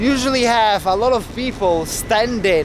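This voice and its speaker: A man with an Italian accent at a very slow pace, ordinary pitch variation, noticeable background noise and audible room echo. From Italy. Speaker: travel vlogger. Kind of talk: travel vlog narration. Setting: outdoors.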